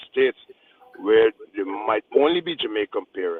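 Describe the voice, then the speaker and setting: A man talks with a Guyanese accent. His pace is moderate. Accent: Guyanese Creole, drops th sound. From Guyana. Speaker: radio show panelist. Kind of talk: radio panel discussion. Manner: passionate, emphatic.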